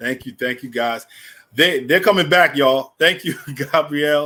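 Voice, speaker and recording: A man speaks with a New York accent. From New York, the Bronx. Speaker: event host. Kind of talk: live event hosting.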